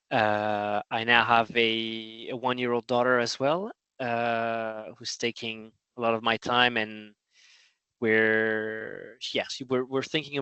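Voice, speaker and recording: A man with a French accent, very slow and monotone, with flat intonation. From France. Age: 30s. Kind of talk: interview. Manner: halting.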